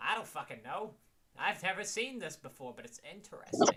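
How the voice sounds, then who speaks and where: A man puts on a character voice, pitched high. He talks at a fairly quick pace. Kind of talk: formal old-fashioned courtesy. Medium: actual play. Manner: polite, slightly stiff and formal.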